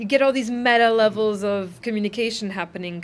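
A woman with a Serbian accent talks at a fairly quick pace, with fairly high pitch and fairly even intonation. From Serbia (former Yugoslavia). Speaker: documentary filmmaker; interviewee. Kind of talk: interview. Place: meeting room. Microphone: camera far.

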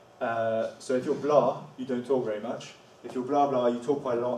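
The room echo is audible, with light background noise. A man talks at a moderate pace. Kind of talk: presentation talk. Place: classroom. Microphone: camera far.

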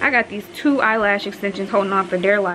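A woman is heard over noticeable background noise. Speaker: vlogger. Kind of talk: casual vlog chat. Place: home room. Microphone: phone near.

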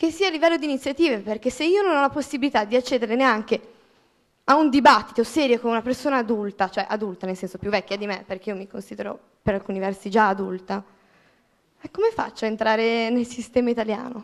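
A woman's fairly high, lively voice at a very fast pace over a quiet background. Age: 20s. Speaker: student, audience member; audience member. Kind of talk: audience question. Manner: indignant. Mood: frustrated, passionate. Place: hall. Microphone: handheld.

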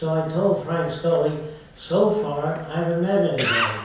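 A man's voice in strong room echo, with light background noise. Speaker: lecturer on a panel. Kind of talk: lecture storytelling. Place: hall.

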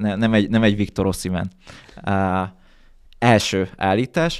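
A man speaks at a fairly slow pace with a fairly low pitch. His pitch varies in an ordinary way, and the background is quiet. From Hungary. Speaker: football podcast host; podcast host. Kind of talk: casual chat. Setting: studio. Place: studio. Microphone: studio mic.

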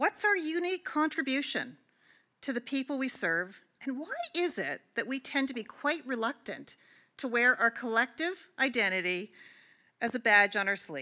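A woman speaks at a moderate pace with a fairly high, bright, sharp voice and big pitch swings. The recording is very clean, with a silent background.

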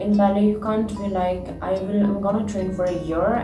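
A woman talks. Music can be heard clearly behind her. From Nepal. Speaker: ballet dancer. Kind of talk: interview answer. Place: home room.

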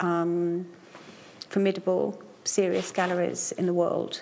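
A woman speaks at a fairly low pitch and a fairly slow pace. There is light background noise. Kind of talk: interview answer. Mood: earnest, matter-of-fact. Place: workshop. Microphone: lapel.

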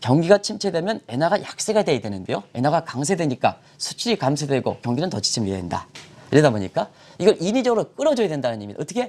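A man talks at a very fast pace with vocal fry. His pitch is fairly high and swings very widely. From South Korea. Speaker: newspaper editorial writer, economics commentator; economics commentator. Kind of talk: TV economics explainer interview. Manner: hesitant, many fillers. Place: studio. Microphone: lapel.

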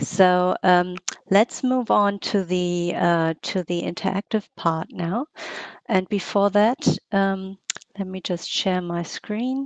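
A woman speaks very slowly at a medium pitch with ordinary pitch variation, her voice dry with no echo against a quiet background. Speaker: workshop moderator. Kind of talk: webinar moderation. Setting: video call. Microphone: headset.

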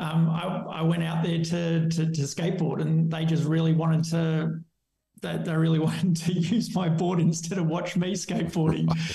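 The speaker has an Australian accent and a monotone, flat intonation at a moderate pace. Audible room echo is present. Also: man, high pitch for a man. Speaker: skateboarding charity founder; podcast guest. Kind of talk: interview. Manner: halting. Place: home room. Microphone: webcam.

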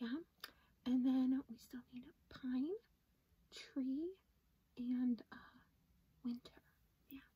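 A woman's high-pitched voice with a dark, mellow tone, at a very slow pace. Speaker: product showcase vlogger. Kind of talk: casual vlog chat. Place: home room. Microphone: phone near.

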